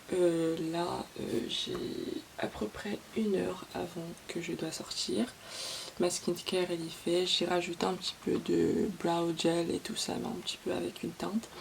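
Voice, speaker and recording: Over noticeable background noise, a woman talks fairly slowly. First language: English (speaking French). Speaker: beauty vlogger. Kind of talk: casual vlog chat. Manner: code-switching French and English; hesitant, many fillers.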